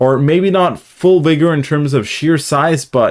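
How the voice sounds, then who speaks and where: In a very clean recording with a silent background, a man with a fairly high pitch talks at a moderate pace with fairly even intonation. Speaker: crypto trading YouTuber. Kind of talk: live stream market commentary. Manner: filler-heavy, hesitant.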